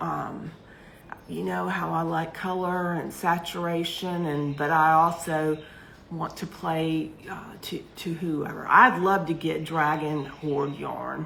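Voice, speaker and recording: Amid audible room echo, a woman with a very deep, low pitch speaks very slowly with fairly even intonation. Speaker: yarn seller and craft vlogger. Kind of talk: casual chat. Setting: livestream.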